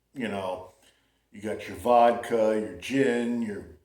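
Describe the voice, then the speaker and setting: The speaker has an American accent, and audible room echo is present. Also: man. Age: 60s. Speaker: vlogger. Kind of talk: casual monologue. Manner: relaxed, halting with fillers.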